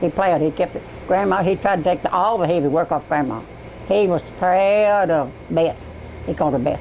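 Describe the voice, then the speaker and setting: A woman talks at a fairly quick pace in a Southern US accent, with ordinary pitch variation. Her loudness stays very even over noticeable background noise. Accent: Southern American. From East Tennessee. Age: 80s+. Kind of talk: casual family conversation.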